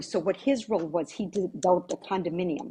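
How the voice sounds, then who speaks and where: This woman has a dark, mellow, somewhat breathy tone at a medium pitch. She talks at a fairly quick pace with ordinary pitch variation. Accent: American. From US Virgin Islands (Saint Croix). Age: 60s. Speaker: real estate agent. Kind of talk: interview. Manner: repetitive, stammering restarts.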